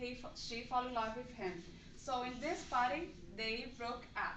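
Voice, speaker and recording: A woman with a high-pitched voice speaks at a fairly slow pace amid audible room echo. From Brazil. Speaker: English language student. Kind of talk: class presentation, movie review. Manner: halting.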